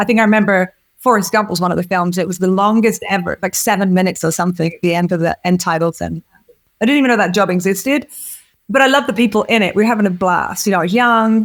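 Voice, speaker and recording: A woman in an English accent speaks at a very fast pace and medium pitch. Her tone is animated, with ordinary pitch variation. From England, village. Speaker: film producer. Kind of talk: interview. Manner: halting.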